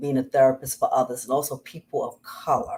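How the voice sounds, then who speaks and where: A woman with a New York accent speaks at a fairly quick pace in a very deep, low voice. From Bronx, New York. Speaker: domestic violence survivor. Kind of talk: interview.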